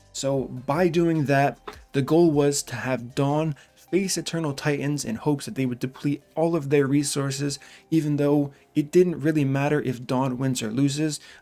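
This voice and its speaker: Over background music, a man speaks at a moderate pace with fairly high pitch and fairly even intonation. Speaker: gaming youtuber. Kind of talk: casual commentary video. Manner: loud.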